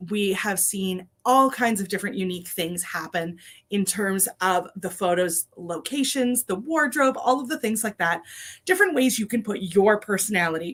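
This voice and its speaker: Putting on a raspy character voice, a woman speaks at a medium pitch and moderate pace with lively intonation. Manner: talking very fast.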